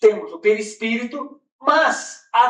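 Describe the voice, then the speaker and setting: A man with a Brazilian accent speaks with lively intonation. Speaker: spiritist lecturer. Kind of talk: lecture. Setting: conference hall with audience.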